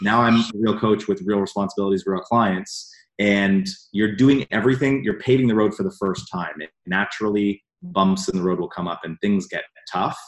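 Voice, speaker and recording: A man talks in an ordinary speaking voice with a Canadian accent, his pitch fairly low with ordinary variation. He keeps a moderate pace against a quiet background. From Canada. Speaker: personal development coach. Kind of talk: casual interview.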